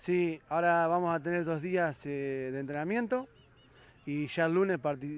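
A man speaks with a Rioplatense accent, the sound dry with no echo. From Argentina, Buenos Aires province. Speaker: women's football coach. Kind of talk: post-match interview. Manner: halting, many fillers and repetitions. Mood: pleased after a win. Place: stadium. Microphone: handheld.

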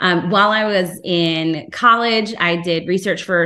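A woman speaks in a fairly low voice with a bright, sharp tone. The background is quiet. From New Jersey. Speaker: aquatic veterinarian; presenter. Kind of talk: lecture. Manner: animated. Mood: friendly, enthusiastic. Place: home room. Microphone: video call.

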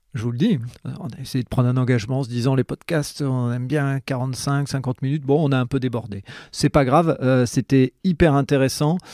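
A man with a medium pitch and a dark, mellow tone speaks at a moderate pace. The sound is dry and close with no echo, and his intonation is fairly even. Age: 40s. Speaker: podcast host. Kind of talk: casual interview.

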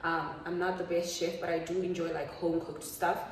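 A woman is speaking. Light background noise and audible room echo fill the recording. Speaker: lifestyle vlogger. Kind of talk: casual vlog chat. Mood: relaxed, chatty. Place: kitchen. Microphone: phone near.

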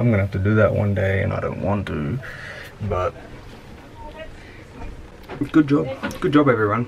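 With noticeable background noise behind him, a man speaks fairly quickly in a fairly low voice. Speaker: vlogger. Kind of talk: casual vlog chat. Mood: relieved, upbeat. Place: boat. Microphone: phone near.

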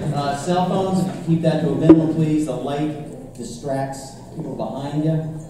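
Loud background noise and audible room echo around a fairly slow pace. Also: man. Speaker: stand-up comedian and club opener. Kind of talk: stand-up comedy set with crowd work and jokes. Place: stage.

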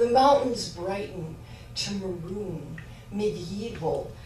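A woman speaks with lively intonation. There is audible room echo and light background noise. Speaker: poet. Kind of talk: poetry reading. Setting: live reading with audience. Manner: conversational intro, then measured reading; self-deprecating, laughing. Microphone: camera far.

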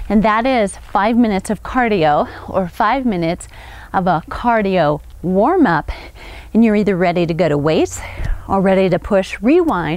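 A woman talks at a moderate pace with lively intonation. The sound is dry, with no echo. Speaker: fitness instructor. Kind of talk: workout instruction. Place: open country.

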